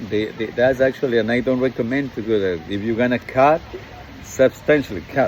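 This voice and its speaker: A man at medium pitch with a Latin American accent, at a fairly quick pace, amid noticeable background noise. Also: ordinary pitch variation. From Ecuador. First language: Spanish. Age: 60s. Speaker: dating coach. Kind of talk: motivational monologue. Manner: halting, many fillers.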